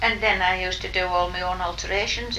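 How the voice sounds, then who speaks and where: A woman's moderate-paced speech carries audible room echo and noticeable background noise. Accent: Cumbrian. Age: 80s+. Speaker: retired shopkeeper and dressmaker. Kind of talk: oral history interview.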